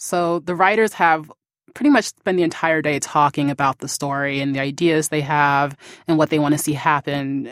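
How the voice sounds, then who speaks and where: A woman with an American accent speaks at a very deep, low pitch and a fairly quick pace, her intonation fairly even. The sound is dry and close with no echo, on a very clean recording with a silent background. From US, Prince George's County, Maryland. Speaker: writers' assistant. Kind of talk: interview.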